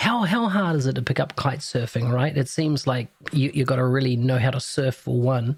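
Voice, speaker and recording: Somewhat breathy male speech in a New Zealand accent, at a medium pitch and a moderate pace. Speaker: podcast host. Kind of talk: podcast interview.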